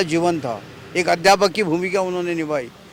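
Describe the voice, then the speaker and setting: A man talks with a fairly high pitch and fairly even intonation. Noticeable noise can be heard in the background. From Maharashtra, Amravati district village. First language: Marathi (speaking Hindi). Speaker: author. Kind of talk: interview.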